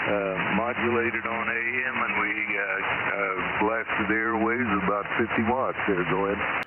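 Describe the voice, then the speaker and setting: A man speaks at a moderate pace and medium pitch, with monotone, flat intonation and very even loudness. Noticeable background noise and audible room echo fill the recording. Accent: American. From US Midwest (northeast Missouri). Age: 70s. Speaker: ham radio operator. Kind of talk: radio conversation. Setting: amateur radio contact. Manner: halting, many fillers.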